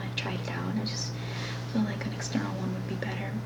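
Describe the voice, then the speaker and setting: Background noise is noticeable here. A woman does the talking. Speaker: ASMR creator. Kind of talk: ASMR talk to camera. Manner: soft-spoken, casual, chatty.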